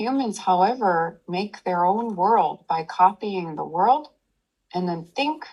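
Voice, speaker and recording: A woman at medium pitch, very slow, with a soothing, calm tone and lively intonation. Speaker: meditation teacher. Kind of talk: meditation talk to an audience.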